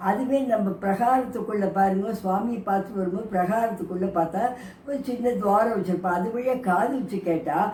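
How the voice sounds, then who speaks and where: A woman speaks at a medium pitch with ordinary pitch variation. Room echo is audible, and there is noticeable background noise. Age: 70s. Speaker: grandmother vlogger. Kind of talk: casual talk to camera. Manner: conversational, with false starts.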